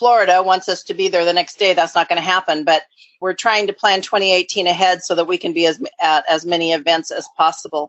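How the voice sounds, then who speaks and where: A woman's ordinary speaking voice at medium pitch, moving at a fairly quick pace. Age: 60s. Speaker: nonprofit founder and recovery advocate. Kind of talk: interview.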